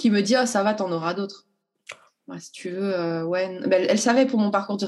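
A woman with a normal speaking voice talks at medium pitch and a moderate pace, with ordinary pitch variation. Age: 30s. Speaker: school nurse. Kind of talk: testimony.

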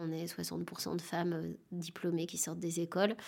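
With an unremarkable speaking voice, a woman talks at a fairly slow pace and a fairly low pitch. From France, Dijon suburbs. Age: 40s. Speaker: actress and theatre director. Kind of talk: interview.

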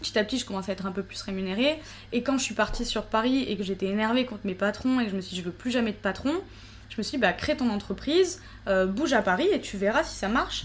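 A woman's fairly high, somewhat breathy voice, very fast, with lively intonation. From southern France. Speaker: Instagram influencer. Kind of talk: casual chat.

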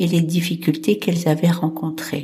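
Her tone is dark and mellow, somewhat breathy. This woman's pitch sits fairly low. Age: 70s. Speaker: podcast host. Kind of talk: solo podcast monologue.

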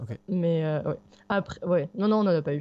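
Fairly low pitch from a woman, paired with ordinary pitch variation. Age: 30s. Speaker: backpacking traveller with her dog. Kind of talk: interview, casual chat.

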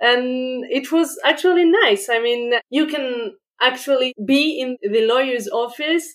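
A woman with a French accent, high pitch, fairly slow pace and ordinary pitch variation. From France. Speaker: podcast host, legal innovation consultant. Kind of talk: interview.

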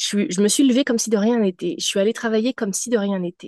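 A woman speaks at a very fast pace in a fairly high pitch with ordinary pitch variation and a dark, mellow tone. The sound is dry and close with no echo, over a quiet background. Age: 30s. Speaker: spiritual mentor. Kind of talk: casual interview, personal testimony.

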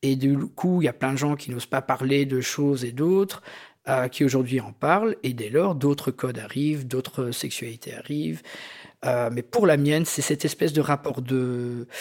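In a very clean recording with a silent background, a man with a plain, everyday voice talks at a moderate pace and medium pitch, with ordinary pitch variation. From Belgium, Algerian immigrant family. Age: 40s. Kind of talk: personal testimony. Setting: living room recording.

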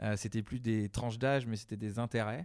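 Very fast and fairly even in intonation, a man speaks at a medium pitch in a very clean recording with a silent background. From western France, Deux-Sèvres. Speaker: head of digital at a theme park. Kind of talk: interview. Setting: on location at the park manor. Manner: hesitant, many fillers.

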